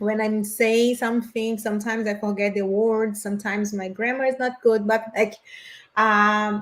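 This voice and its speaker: A woman speaks with a Portuguese accent at a moderate pace. Her fairly high voice stays flat and monotone. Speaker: spiritist study group co-presenter. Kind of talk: discussion on spiritist prayer. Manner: halting, self-correcting.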